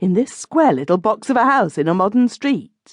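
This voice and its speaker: A woman puts on a character voice with a fairly high pitch and very wide pitch swings. She keeps a moderate pace and very even loudness. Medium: read story.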